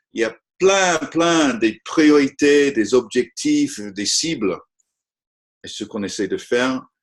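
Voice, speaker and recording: With a non-native accent, a man talks at a very slow pace using lively intonation. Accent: non-native French, apologizes for his French. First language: not French (speaking French). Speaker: conservation technology expert. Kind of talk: webinar presentation. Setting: online webinar. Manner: halting, frequent hesitations.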